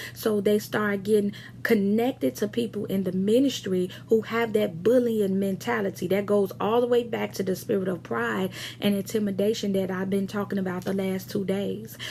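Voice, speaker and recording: A woman speaks at a moderate pace. Her voice is somewhat breathy with a dark, mellow tone. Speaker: pastor. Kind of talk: sermon. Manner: hesitant with fillers.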